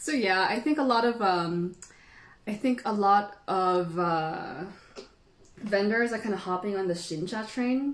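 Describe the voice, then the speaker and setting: A woman with a Filipino accent and a medium pitch talks at a fairly slow pace with ordinary pitch variation over noticeable background noise. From Philippines. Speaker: tea educator. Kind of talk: live stream tea tasting tutorial. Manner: casual, chatty.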